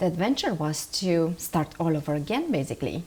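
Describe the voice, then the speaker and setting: Someone speaks with a Romanian accent at a moderate pace. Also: woman. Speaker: marketing strategist. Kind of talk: interview. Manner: animated.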